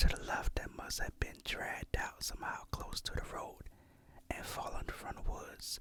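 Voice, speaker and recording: Someone whispers at a fairly slow pace. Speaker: ASMR creator. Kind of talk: reading Reddit horror stories. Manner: whispered.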